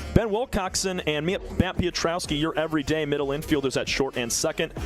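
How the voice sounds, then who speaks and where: Music plays in the background. A man talks at a fairly quick pace with ordinary pitch variation. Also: fairly high pitch for a man. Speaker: baseball play-by-play announcer. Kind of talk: baseball play-by-play broadcast.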